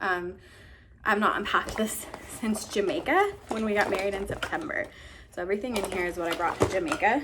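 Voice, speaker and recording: Amid noticeable background noise, a woman speaks fairly quickly at a fairly high pitch with lively intonation. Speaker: vlogger. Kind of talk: casual chat. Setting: home office. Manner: rambling, casual.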